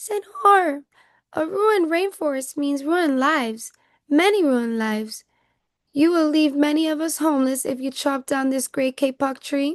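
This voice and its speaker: A squeaky, put-on character voice moves at a moderate pace. The background is quiet. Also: woman, high pitch for a woman. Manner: pleading.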